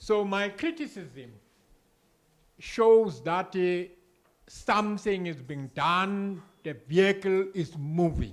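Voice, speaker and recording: Long, frequent pauses break up a very slow delivery with ordinary pitch variation on a very clean recording with a silent background. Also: man. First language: isiZulu. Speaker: audience member. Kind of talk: audience comment.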